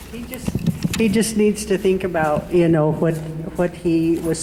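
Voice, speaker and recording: With an American accent, a woman talks in a fairly low pitch with fairly even intonation over noticeable background noise. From Omak area, Washington (US Pacific Northwest). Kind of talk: public comment at community meeting. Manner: halting, hesitant.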